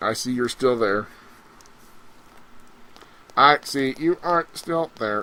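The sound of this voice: Putting on a robotic character voice at medium pitch, a man speaks at a fairly slow pace with long, frequent pauses.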